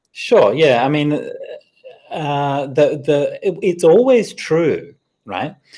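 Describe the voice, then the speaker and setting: Speaking very slowly with long, frequent pauses, a man with an Australian accent uses lively intonation and a fairly high pitch. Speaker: Buddhist monk. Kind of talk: dharma talk with Q&A. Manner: hesitant, repeats words.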